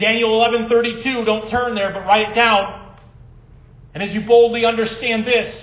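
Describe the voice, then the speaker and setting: Audible room echo surrounds a man speaking at an extremely high pitch. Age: 40s. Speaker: pastor. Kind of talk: sermon. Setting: church.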